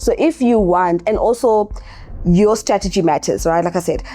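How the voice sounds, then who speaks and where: A woman's medium-pitched voice at a moderate pace, with music in the background. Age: 30s. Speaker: makeup artist and beauty educator. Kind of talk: casual talk to camera. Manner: conversational, with many fillers.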